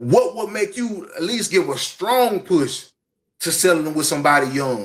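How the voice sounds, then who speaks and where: A man's high-pitched, animated voice with lively intonation at a fairly slow pace. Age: 40s. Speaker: podcast co-host. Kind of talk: casual chat.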